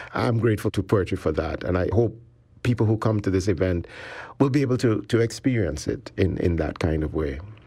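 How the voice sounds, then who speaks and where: The voice has a dark, mellow tone, somewhat breathy, with lively intonation at a fairly quick pace. The recording is very clean with a silent background. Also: man, fairly low pitch for a man. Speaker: poet and professor. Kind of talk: interview conversation.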